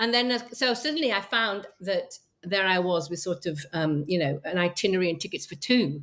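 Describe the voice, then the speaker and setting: Ordinary pitch variation and a moderate pace mark this voice with an English accent. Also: woman. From England. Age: 60s. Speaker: travel group founder. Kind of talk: interview. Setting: podcast interview. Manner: hesitant, many fillers.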